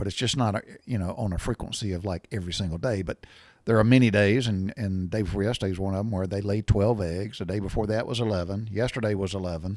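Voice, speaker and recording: A man's fairly low voice in a Southern US accent at a fairly quick pace, on a very clean recording with a silent background. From US South. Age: 60s. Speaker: podcast host, storyteller. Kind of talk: casual monologue. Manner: halting, many fillers and restarts.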